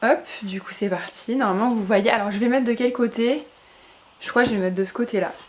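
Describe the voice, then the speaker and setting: A woman with a fairly high pitch talks at a fairly quick pace, yet with long, frequent pauses. Her intonation is fairly even, and background noise is noticeable. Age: 20s. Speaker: YouTuber. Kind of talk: casual talk to camera.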